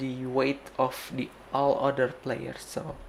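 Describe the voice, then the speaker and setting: Here a man speaks with a non-native accent. His pace is very slow. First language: Indonesian. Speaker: game developer streamer. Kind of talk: casual live stream talk. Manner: halting, many fillers.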